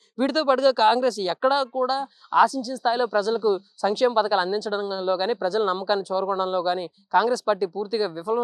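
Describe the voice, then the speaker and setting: Pitch varies in an ordinary way in what is a normal speaking voice. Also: woman. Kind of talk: news analysis narration.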